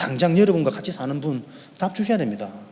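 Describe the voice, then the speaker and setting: This man speaks at a very fast pace with very wide pitch swings. There is noticeable background noise. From Korea, Yeongdo (Busan). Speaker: pastor. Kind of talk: sermon. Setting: church.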